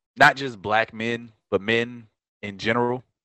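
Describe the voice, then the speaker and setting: With an American accent, a man talks at a fairly slow pace. His pitch is medium. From Detroit, US. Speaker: podcast host. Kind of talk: casual chat.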